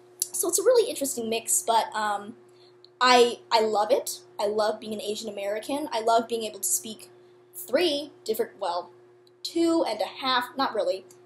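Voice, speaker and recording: A woman at a fairly high pitch with lively intonation and a moderate pace. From San Francisco, California. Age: 19. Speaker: university student. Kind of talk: personal vlog monologue. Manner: casual, many fillers.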